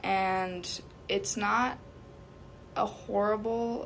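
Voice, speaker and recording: A woman talks with lively intonation, her voice carrying an audible room echo. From US (came as small child). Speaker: undocumented immigrant interviewee. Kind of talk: interview. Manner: hesitant, many fillers.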